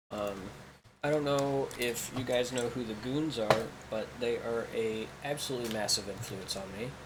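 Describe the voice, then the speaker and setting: Here a man with an American accent speaks at medium pitch and a moderate pace. His intonation is fairly even, and the room gives audible echo. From Kansas. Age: 20s. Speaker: gaming YouTuber. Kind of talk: casual gameplay commentary. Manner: halting, many filler ums; chatty.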